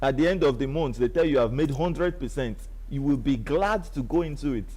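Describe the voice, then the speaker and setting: The voice has a dark, mellow tone and a fairly quick pace, with audible room echo. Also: man, fairly high pitch for a man, ordinary pitch variation. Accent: Nigerian. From Nigeria. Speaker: online business promoter. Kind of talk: live stream sales pitch. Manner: animated.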